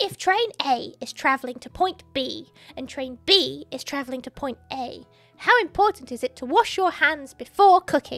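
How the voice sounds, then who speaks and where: Faint music plays in the background. The speaker uses a put-on character voice with a stern tone. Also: woman, moderate pace. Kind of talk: comic game dialogue reading. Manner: stern, bossy.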